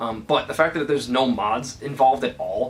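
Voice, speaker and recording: A man's voice amid noticeable background noise. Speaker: gaming YouTuber. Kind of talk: casual vlog. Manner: stuttering from excitement.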